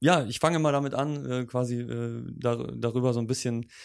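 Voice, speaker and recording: An ordinary speaking voice from a man, medium in pitch, with fairly even intonation. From Germany. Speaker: podcast host. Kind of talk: interview.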